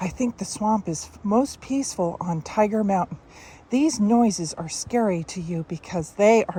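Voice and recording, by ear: The passage is read out in a natural voice, its pitch moving in an ordinary way.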